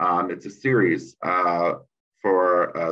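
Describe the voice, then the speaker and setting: A man is speaking. His pitch is very deep and low. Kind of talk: conference presentation. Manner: halting.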